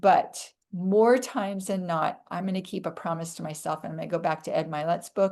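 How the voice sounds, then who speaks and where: In an unremarkable speaking voice, a woman talks at a fairly quick pace with a medium pitch and ordinary pitch variation against a quiet background. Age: 60s.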